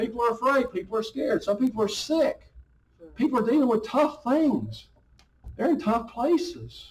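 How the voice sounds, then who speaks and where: A man with an extremely high pitch for a man speaks with ordinary pitch variation and big swings in loudness. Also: moderate pace. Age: 50s. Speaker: pastor. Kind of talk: sermon. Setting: church. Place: hall. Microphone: handheld.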